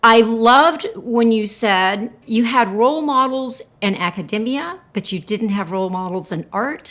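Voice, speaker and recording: The speaker talks at a fairly slow pace with hardly any pauses, in an animated tone with lively intonation. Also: woman, fairly high pitch for a woman. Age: 60s. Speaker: podcast host and artist. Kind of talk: casual interview chat.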